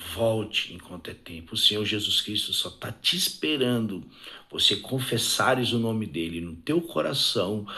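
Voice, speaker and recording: Soft-spoken and fairly slow, a man with a fairly low pitch, lively intonation and a bright, sharp tone is heard with audible room echo. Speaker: evangelical preacher. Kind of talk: sermon. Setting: live stream. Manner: fervent.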